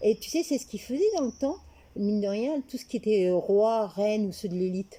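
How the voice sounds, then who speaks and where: Somewhat breathy and fairly high in pitch, a woman talks at a fairly quick pace in a dark, mellow tone, with lively intonation and big swings in loudness. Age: 60s. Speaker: interviewee. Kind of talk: casual chat. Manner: halting.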